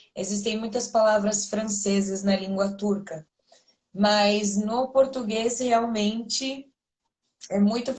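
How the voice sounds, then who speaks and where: A woman with a somewhat breathy, fairly high voice speaks at a fairly slow pace with fairly even intonation. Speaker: Portuguese teacher. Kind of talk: casual conversation.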